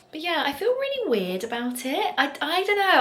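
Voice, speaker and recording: A woman speaks at a fairly quick pace in a southern English accent, her pitch swinging very widely. Noticeable background noise and audible room echo come through. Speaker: lifestyle vlogger. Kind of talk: casual vlog chat.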